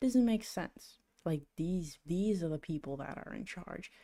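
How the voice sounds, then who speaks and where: Dark, mellow tones from a woman with a fairly low pitch and ordinary pitch variation, at a fairly slow pace. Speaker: livestreamer trading gold. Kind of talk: casual livestream chat. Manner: halting, many repetitions; talking quietly.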